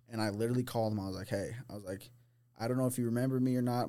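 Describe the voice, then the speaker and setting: A man with an American accent speaks at medium pitch in a dark, mellow tone with fairly even intonation. The recording is very clean, with a silent background. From US Midwest, St. Louis, Missouri. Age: 20s. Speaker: recovering addict telling life story. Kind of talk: casual chat.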